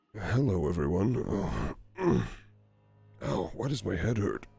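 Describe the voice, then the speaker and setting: With music playing behind him, a man uses a put-on character voice that is raspy and very deep, delivered at a fairly slow pace. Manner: confused, pained.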